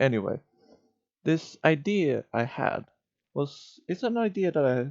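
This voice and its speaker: A man with a non-native accent speaks at a very slow pace with lively intonation. The sound is dry and close, with no echo. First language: not English. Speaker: streamer / YouTuber. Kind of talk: casual monologue. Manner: halting, stuttering.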